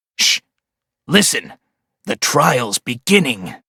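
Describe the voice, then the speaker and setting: A man uses a put-on character voice at a medium pitch, sounding raspy. He talks at a fairly slow pace. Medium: cartoon. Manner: brusque, impatient.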